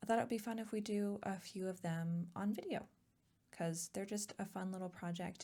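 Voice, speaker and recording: Soft-spoken and somewhat breathy, a woman of medium pitch talks in a calm tone at a moderate pace with fairly even intonation. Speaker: ASMR artist and painter. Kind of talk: casual soft-spoken art tutorial talk to camera. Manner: soft-spoken, calm.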